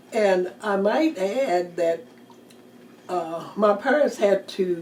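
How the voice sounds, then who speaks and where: Noticeable background noise sits behind a woman speaking at a very slow pace. Her medium-pitched voice carries lively intonation. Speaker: retired teacher. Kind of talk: oral history interview answer.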